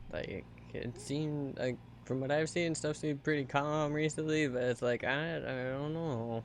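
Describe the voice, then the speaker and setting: Soft-spoken delivery at a moderate pace. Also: man, fairly high pitch for a man. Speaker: video game streamer. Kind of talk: casual live-stream chat. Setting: home streaming setup.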